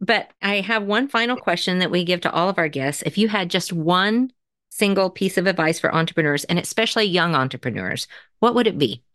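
A woman of medium pitch, in an unremarkable speaking voice, talks at a fairly quick pace with lively intonation against a quiet background. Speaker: podcast host. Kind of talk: interview, casual chat.

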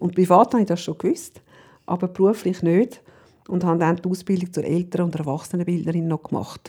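A woman with a fairly low pitch and a dark, mellow tone speaks at a fairly quick pace. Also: fairly even intonation. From Switzerland, Zurich area. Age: 50s. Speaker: parent educator and coach. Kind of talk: interview. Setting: at guest's home.

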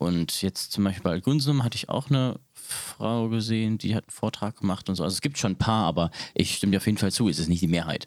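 Talking very fast with hardly any pauses, a man uses fairly low pitch. His pitch variation is ordinary. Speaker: podcast host. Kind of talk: casual chat.

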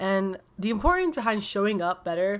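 Heard on a very clean recording with a silent background, a woman talks fairly slowly in a normal speaking voice with ordinary pitch variation. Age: 20s. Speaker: wellness coach and podcast host. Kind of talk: casual solo podcast monologue. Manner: casual, filler-heavy.

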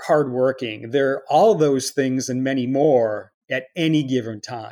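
An unremarkable speaking voice from a man with an American accent, medium in pitch and fairly slow in pace, on a very clean recording with a silent background. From Chicago area, US Midwest. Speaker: multidisciplinary artist and architect. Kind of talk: interview.

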